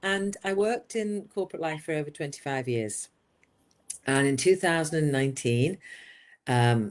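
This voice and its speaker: With an English accent, a woman speaks at a moderate pace in a very deep, low voice, her pitch swinging very widely and her speech broken by long, frequent pauses. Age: 60s. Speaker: business coach. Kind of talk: interview. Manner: animated.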